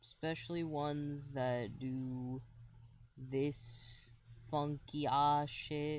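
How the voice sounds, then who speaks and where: A soft-spoken man with a fairly high voice talks very slowly in a monotone, flat intonation, with audible room echo. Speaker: streamer. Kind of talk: casual gaming stream chat. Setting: live stream. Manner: quiet, soft-spoken.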